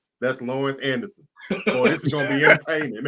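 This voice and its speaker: A man speaks with an American accent. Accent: Texas accent, comes out at times. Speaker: sports talk show host. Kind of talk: casual sports chat. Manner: animated.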